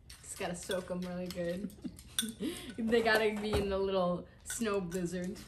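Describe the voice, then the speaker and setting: A woman speaks at a moderate pace and medium pitch in a monotone, flat intonation, her loudness swinging widely over noticeable background noise. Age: 20s. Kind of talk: casual talk to camera. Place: home room. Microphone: camera far.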